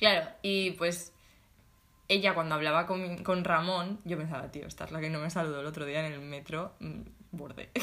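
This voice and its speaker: A woman at a fairly low pitch uses an ordinary speaking voice, keeping a moderate pace and fairly even intonation. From Spain, Alicante province (small town). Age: 20s. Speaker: podcast co-host, design student. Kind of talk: casual chat.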